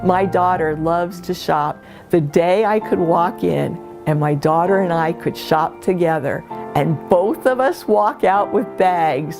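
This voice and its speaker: Over music in the background, a woman with an American accent speaks with lively intonation. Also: fairly low pitch for a woman, fairly slow pace. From Virginia, USA. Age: 60s. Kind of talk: testimonial interview answer.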